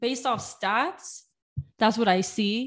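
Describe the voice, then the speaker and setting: A woman's voice with an American accent over a quiet background. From Southern California, Inland Empire (Moreno Valley). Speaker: student sports reporter and podcast co-host. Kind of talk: casual chat. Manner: enthusiastic.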